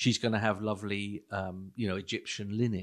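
With a quiet background, a man with a fairly low pitch talks at a fairly quick pace in a monotone, flat intonation. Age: 60s. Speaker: pastor. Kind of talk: casual chat.

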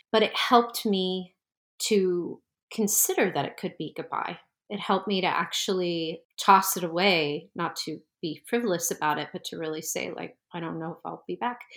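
This woman has an unremarkable speaking voice, fairly low in pitch with ordinary pitch variation, in an American accent. She talks at a moderate pace with big swings in loudness on a very clean recording with a silent background. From US Northeast, New Jersey. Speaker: tarot teacher. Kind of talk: interview conversation.

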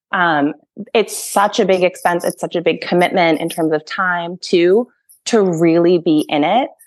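This woman has an unremarkable speaking voice, fairly low in pitch, with an American accent. She speaks at a moderate pace with fairly even intonation. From Massachusetts, US. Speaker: former horse professional, project manager. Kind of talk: casual interview chat.

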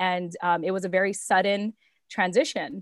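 A woman uses an unremarkable speaking voice at medium pitch and a moderate pace, on a very clean recording with a silent background and a dry, close sound with no echo. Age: 30s. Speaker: entrepreneur and podcaster, military spouse. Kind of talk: casual chat.

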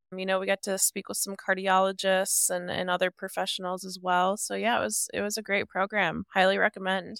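A woman with an American accent speaks at a fairly quick pace and a medium pitch, with monotone, flat intonation and hardly any pauses. The recording is very clean with a silent background, and the sound is dry and close with no echo. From US Midwest, Ohio. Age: 30s. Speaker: bodybuilder and heart transplant recipient. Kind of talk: interview storytelling.

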